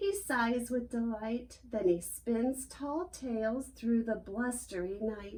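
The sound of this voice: An unforced reading voice is heard.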